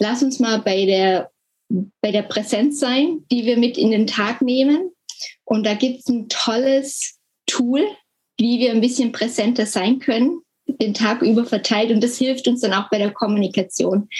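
Ordinary pitch variation and a fairly slow pace in a woman's fairly high voice. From Germany. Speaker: health communication trainer, former nurse. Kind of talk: interview. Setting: video call from home.

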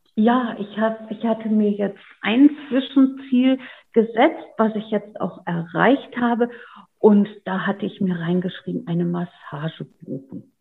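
A woman has an unremarkable speaking voice with a fairly high pitch. She goes at a fairly slow pace with ordinary pitch variation. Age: 50s. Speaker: online program participant. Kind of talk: interview.

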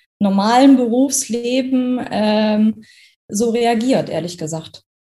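Her voice somewhat breathy with a dark, mellow tone, a woman speaks at a fairly high pitch with fairly even intonation. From Germany, Kassel (Hesse). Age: 30s. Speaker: trainee teacher. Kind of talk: testimony.

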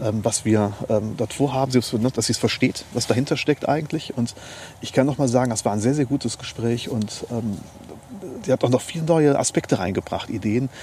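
Speaking in a plain, everyday voice, a man talks at a moderate pace and medium pitch with ordinary pitch variation. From Germany, Neuwied (Rhineland). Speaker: lawyer. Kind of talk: interview. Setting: outdoors in a park.

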